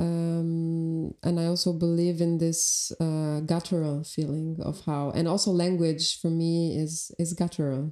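A woman with an Albanian accent speaks at a fairly slow pace in a fairly low pitch. Her tone is dark and mellow, and her intonation is monotone and flat. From Albania (Elbasan, raised in Tirana). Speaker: artist and filmmaker. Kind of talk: casual podcast conversation.

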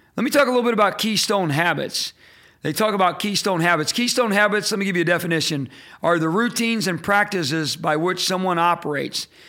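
With an American accent, a man uses a raised, projected voice at a high pitch, with a bright, sharp tone, lively intonation and a moderate pace, on a very clean recording with a silent background. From Indiana, US Midwest. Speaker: leadership podcast host. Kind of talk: solo teaching talk.

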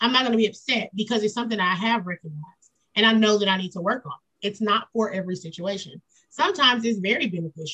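A woman with a fairly high pitch and a bright, sharp tone speaks at a very fast pace with ordinary pitch variation, in a dry, close sound with no echo. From US South (Kentucky, Florida). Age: 40s. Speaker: nonprofit founder. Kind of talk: casual chat.

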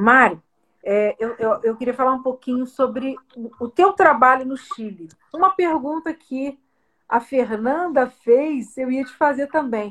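The speech moves at a very slow pace, with big swings in loudness and ordinary pitch variation. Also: woman, high pitch for a woman. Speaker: podcast host. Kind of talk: casual interview.

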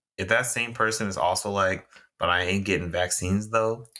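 A man talks at a fairly quick pace in an American accent, his tone bright and sharp. The recording is very clean, with a silent background. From Texas. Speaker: podcast co-host. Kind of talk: casual chat.

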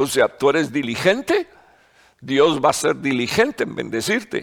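A man's voice moves through very wide pitch swings. The sound is dry and close, with no echo. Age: 60s. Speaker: pastor. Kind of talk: sermon. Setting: online broadcast. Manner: halting, many fillers and repetitions.

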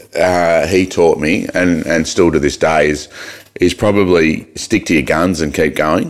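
A man's very deep, low voice, fairly slow, with fairly even intonation and very even loudness. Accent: Australian. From Australia, Mildura (Victoria). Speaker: mayor and businessman. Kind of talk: casual chat. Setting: studio.

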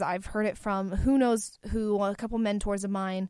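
A normal speaking voice at a fairly slow pace, on a very clean recording with a silent background. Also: woman. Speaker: podcast host and college student. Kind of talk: solo podcast monologue. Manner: casual, chatty with laughs.

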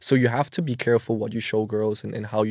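In a Danish accent, a man speaks at a very fast pace with a dark, mellow tone and monotone, flat intonation, on a very clean recording with a silent background. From Denmark, Copenhagen. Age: 20s. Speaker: social media marketing agency owner. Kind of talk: casual chat. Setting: studio.

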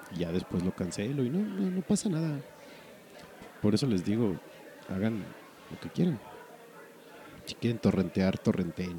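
With a Mexican accent, a man speaks at a moderate pace in a fairly low pitch, his voice swinging very widely in pitch and broken by long, frequent pauses. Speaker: podcast host. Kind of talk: casual chat.

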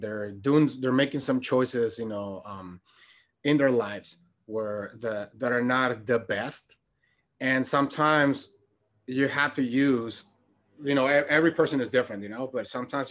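At a moderate pace, a man with medium pitch speaks in an ordinary speaking voice, with ordinary pitch variation over a quiet background. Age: 30s. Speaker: health coach. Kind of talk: casual interview chat.

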